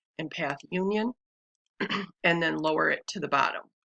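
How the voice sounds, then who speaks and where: A woman talks in a fairly low pitch with vocal fry and a bright, sharp tone. Her pitch varies in an ordinary way, and the sound is dry and close with no echo. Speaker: crafting tutorial creator. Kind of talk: tutorial. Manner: casual, many fillers.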